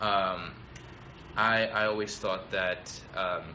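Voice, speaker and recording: A man speaking at a very slow pace, with audible room echo. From Tanzania. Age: 20s. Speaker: business school student. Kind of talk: live stream talk. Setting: live video stream. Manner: hesitant, many fillers.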